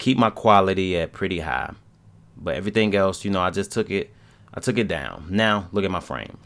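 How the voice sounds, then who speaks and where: A man with a very deep, low pitch and vocal fry speaks at a fairly quick pace in a relaxed tone, with ordinary pitch variation. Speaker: gaming YouTuber. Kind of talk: voice-over commentary on gameplay. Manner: casual, relaxed.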